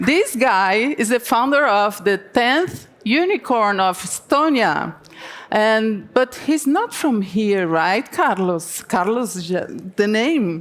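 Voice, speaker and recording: A woman speaks very slowly with a Brazilian Portuguese accent. Her fairly high pitch swings very widely. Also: very even loudness. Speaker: TV journalist, interviewer. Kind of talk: conference panel interview. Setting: stage with audience.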